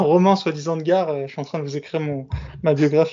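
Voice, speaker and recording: Talking very fast, a man keeps a fairly high pitch and fairly even intonation. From Bobigny, Paris suburbs, France. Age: 30s. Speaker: podcast host. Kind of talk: interview.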